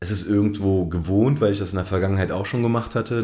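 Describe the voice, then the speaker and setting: A man's very deep, low voice with a dark, mellow tone and fairly even intonation at a very fast pace, with audible room echo. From Berlin, Germany. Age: 30s. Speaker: basketball coach. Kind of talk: interview. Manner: hesitant, many fillers.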